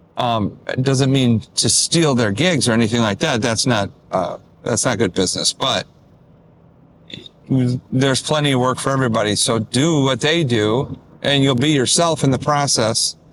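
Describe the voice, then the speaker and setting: Using an unremarkable speaking voice with an American accent, a man talks at a moderate pace and medium pitch, with ordinary pitch variation and very even loudness. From Detroit. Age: 60s. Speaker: musician. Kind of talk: casual vlog talk to camera. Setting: in a car.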